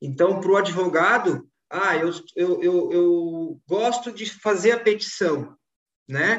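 This man has a high pitch with ordinary pitch variation. He speaks at a very slow pace. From Florianópolis, southern Brazil. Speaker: law firm management consultant. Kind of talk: casual chat.

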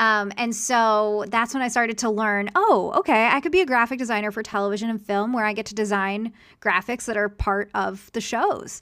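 With hardly any pauses, a woman with an American accent speaks in a fairly high pitch and a bright, sharp tone on a very clean recording with a silent background. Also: ordinary pitch variation, moderate pace. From Philadelphia, US. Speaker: success coach and graphic designer. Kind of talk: interview.

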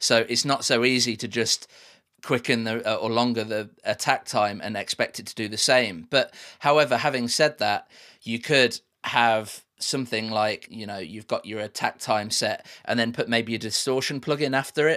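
A medium-pitched man with an English Midlands accent, a bright, sharp tone and fairly even intonation. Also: moderate pace. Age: 30s. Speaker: music producer and engineer. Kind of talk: interview. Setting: remote call.

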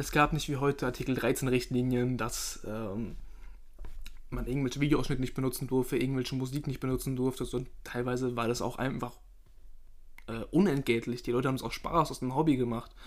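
In an ordinary speaking voice, a man talks fairly quickly at a medium pitch with fairly even intonation. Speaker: podcast host. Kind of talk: casual chat.

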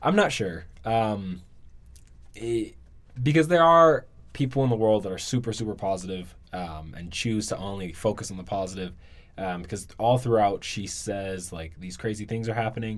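With an American accent, a man uses a normal speaking voice at a fairly low pitch, moving at a moderate pace with lively intonation. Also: big swings in loudness. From US, Washington DC. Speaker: student, podcast guest. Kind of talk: casual chat.

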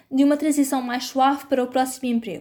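In a European Portuguese accent, a woman speaks very fast at a high pitch on a very clean recording with a silent background. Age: 20s. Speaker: journalist and podcast host. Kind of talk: scripted narration.

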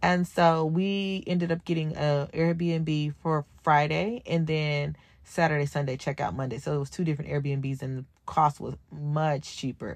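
A woman with an American accent speaks at a fairly slow pace in a very deep, low voice, her intonation fairly even against a quiet background. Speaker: podcast host. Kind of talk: casual solo podcast monologue.

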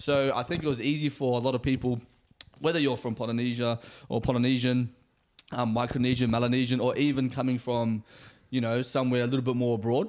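Speaking at a very fast pace, a man keeps a medium pitch, monotone, flat intonation and very even loudness. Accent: New Zealand. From New Zealand. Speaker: podcast co-host. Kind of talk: casual chat.

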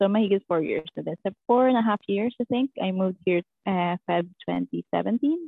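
A woman speaks in a Filipino accent. Her pace is moderate. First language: Tagalog. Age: 20s. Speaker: bank teller and student. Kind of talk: casual interview chat.

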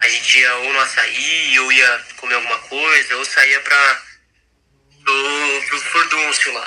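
Pitched fairly high, a man speaks very slowly in a monotone, flat delivery. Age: 20s. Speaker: club treasurer. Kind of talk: casual chat.

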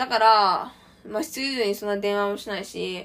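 Against noticeable background noise, a woman talks at a very fast pace in a fairly high pitch. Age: 20s. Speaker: podcaster, university student. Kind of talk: solo casual monologue.

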